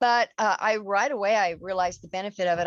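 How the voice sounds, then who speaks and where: Against a quiet background, a woman with an unremarkable speaking voice talks at a moderate pace and fairly even intonation, in a dry, close sound with no echo. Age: 60s. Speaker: fitness program member. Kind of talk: casual chat.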